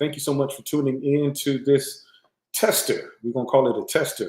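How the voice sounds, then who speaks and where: At a moderate pace, a man speaks. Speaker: live streamer.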